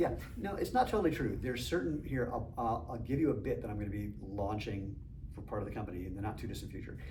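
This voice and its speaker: Amid audible room echo and noticeable background noise, a man speaks at a very fast pace. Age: 60s. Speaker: entrepreneur and masters sprinter. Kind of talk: casual chat.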